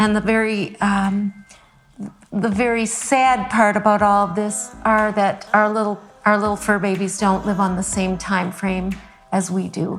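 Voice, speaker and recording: A woman speaks at a medium pitch with a Midwestern American accent, her intonation monotone and flat. She goes at a fairly slow pace while music plays in the background. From Michigan. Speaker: classically trained vocalist and visual artist. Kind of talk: interview answer.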